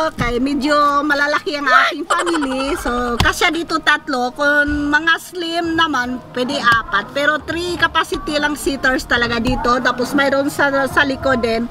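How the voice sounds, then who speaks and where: Music plays in the background as a woman with a high pitch speaks in a raised, projected voice at a fairly slow pace, with ordinary pitch variation and hardly any pauses. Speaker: vlogger. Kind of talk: casual vlog. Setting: outdoors. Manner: loud.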